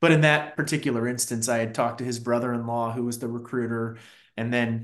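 Speaking with an American accent, a man holds a medium pitch in a monotone, flat intonation. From Fairfax County, Virginia (DC suburbs). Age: 40s. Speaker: marketing executive. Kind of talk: interview.

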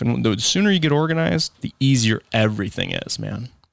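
A man with an American accent, fairly quick pace and very wide pitch swings, on a very clean recording with a silent background and a dry, close sound with no echo. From Michigan, US. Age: 20s. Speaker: lawn care business owner. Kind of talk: casual interview. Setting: studio.

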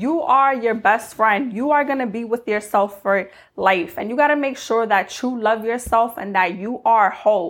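A woman with a normal speaking voice and fairly high pitch talks at a moderate pace with ordinary pitch variation and hardly any pauses. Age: 20s. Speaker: lifestyle podcaster. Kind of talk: motivational monologue.

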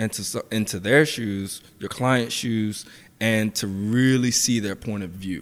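In an American accent, a man with a plain, everyday voice speaks slowly-ish at medium pitch with ordinary pitch variation, on a very clean recording with a silent background. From US Mid-Atlantic, Washington DC and Southern Maryland. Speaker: personal trainer. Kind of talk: casual interview.

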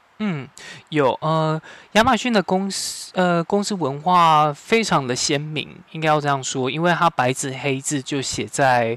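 With a plain, everyday voice, a man talks at a fairly slow pace, fairly high in pitch with ordinary pitch variation. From Taiwan. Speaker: corporate trainer. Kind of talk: interview.

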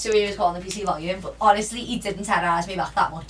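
Very fast speech from a woman, with noticeable background noise. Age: 20s. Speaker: podcast host. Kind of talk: casual chat.

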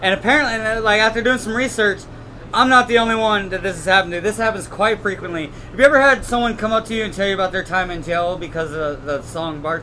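Over noticeable background noise, a man talks at a very fast pace in a raised, projected voice, pitched high for a man with ordinary pitch variation. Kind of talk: casual chat.

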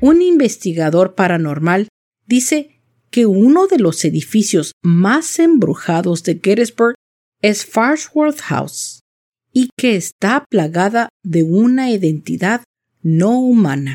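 Spoken at a very slow pace in a Latin American accent, the voice has a dark, mellow tone. Its pitch swings very widely while its loudness stays very even. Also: woman, medium pitch for a woman. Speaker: podcast host and storyteller. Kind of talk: scripted ghost story narration, eerie and suspenseful. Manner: slow, clear, deliberate.

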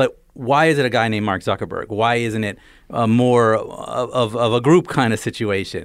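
An unremarkable speaking voice with an American accent. It moves at a fairly quick pace. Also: man. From New Jersey. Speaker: author. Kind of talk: casual interview. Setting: studio.

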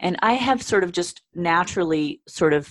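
A woman with a normal speaking voice, fairly low-pitched, talks at a moderate pace in a dry, close recording with no echo. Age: 50s. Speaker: yoga and Pilates instructor, former dancer. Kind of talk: interview.

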